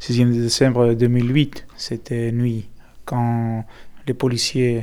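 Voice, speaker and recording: A man speaks in a Greek accent. His delivery is very slow, with monotone, flat intonation. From Greece. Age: 30s. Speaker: activist. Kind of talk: interview. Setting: apartment in Athens. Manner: halting.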